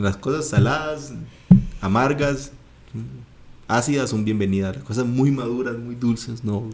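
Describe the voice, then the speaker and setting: A man speaks with a Costa Rican accent at a moderate pace. His medium pitch shows ordinary variation. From Costa Rica, Guanacaste. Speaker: podcast co-host. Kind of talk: casual chat.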